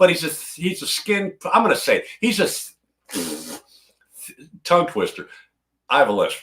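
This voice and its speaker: A man's animated voice with vocal fry, at a moderate pace. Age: old. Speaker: guitar hobbyist co-host. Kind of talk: casual chat.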